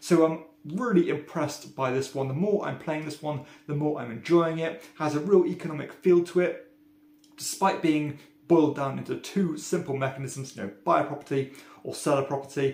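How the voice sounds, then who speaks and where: With a British accent, a man talks in a fairly high pitch and ordinary pitch variation. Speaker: board game reviewer. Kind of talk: casual review monologue. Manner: frequent filler ums.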